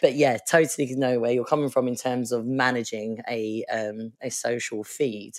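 A woman speaks with an Essex accent. Her pitch is very deep and low, and her intonation fairly even. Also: moderate pace, hardly any pauses. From Essex, England. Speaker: podcast host. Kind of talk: interview.

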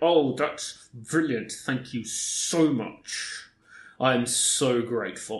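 The put-on character voice moves along at a very slow pace. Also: man, medium pitch for a man. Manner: forced politeness through gritted teeth.

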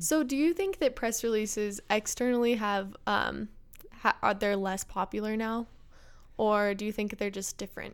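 In a very clean recording with a silent background, a woman speaks in a normal speaking voice, fairly high in pitch, with ordinary pitch variation at a moderate pace. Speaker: marketing colleague co-host. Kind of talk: casual chat.

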